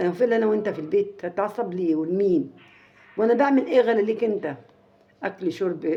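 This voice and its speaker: With music playing behind her, a woman in a fairly high register talks at a moderate speed. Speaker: family vlogger. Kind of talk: casual storytelling to viewers. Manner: halting, many repetitions; raised volume slightly.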